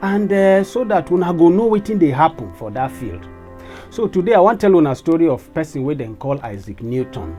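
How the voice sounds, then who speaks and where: Music plays in the background as the voice moves at a fairly quick pace with very wide pitch swings. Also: man, fairly high pitch for a man. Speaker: science educator. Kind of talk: casual science storytelling to camera.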